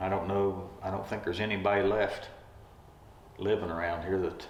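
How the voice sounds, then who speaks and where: A man with an Appalachian accent, fairly low in pitch, monotone and flat, at a moderate pace, with noticeable background noise. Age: 50s. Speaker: retired railroad track worker. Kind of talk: interview answer.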